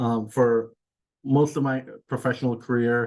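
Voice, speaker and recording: In a Californian accent, a man speaks at a fairly slow pace with a medium pitch. His tone is dark and mellow, and his intonation is monotone and flat. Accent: American (California). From Iran, raised in California. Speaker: executive director of an immigrant advocacy group. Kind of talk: webinar remarks. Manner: many filler words (uh, um).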